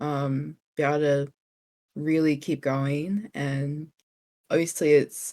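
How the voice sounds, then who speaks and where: Delivered with a New Zealand accent, the voice has a dark, mellow, relaxed tone and fairly even intonation. It moves at a very slow pace with long, frequent pauses. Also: woman, very deep, low pitch for a woman. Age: 20s. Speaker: streamer. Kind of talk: interview.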